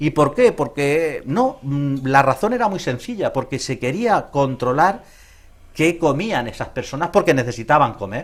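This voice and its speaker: Very wide pitch swings at a fairly slow pace, in a very clean recording with a silent background. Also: man. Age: 60s. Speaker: psychologist. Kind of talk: interview.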